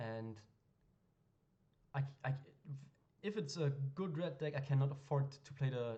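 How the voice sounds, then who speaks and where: Somewhat breathy and dark, mellow in tone, a man speaks at a fairly high pitch amid audible room echo. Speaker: gaming streamer / card game content creator. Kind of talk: gameplay commentary. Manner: fast; casual, hesitant with fillers.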